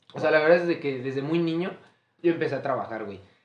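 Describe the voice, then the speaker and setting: Audible room echo around a man speaking with ordinary pitch variation. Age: 20s. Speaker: podcast host. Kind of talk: casual chat.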